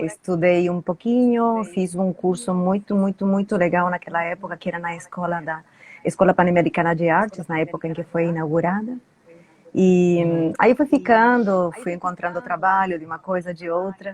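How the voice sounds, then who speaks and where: A woman's medium-pitched voice moves at a moderate pace, its pitch variation ordinary. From Uruguay, Montevideo. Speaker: Spanish teacher. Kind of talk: live stream interview.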